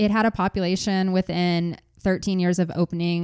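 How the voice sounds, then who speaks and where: The recording is very clean, with a silent background and a dry, close sound with no echo. A woman speaks with a fairly low pitch and fairly even intonation. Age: 40s. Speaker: podcast host. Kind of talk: true crime storytelling.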